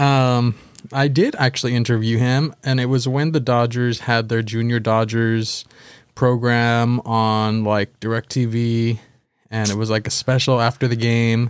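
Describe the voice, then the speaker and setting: A man with a Californian accent, medium pitch, monotone, flat intonation, very even loudness and a fairly slow pace, on a very clean recording with a silent background. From Southern California (Baldwin Park). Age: 20s. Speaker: podcast co-host. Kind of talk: casual chat.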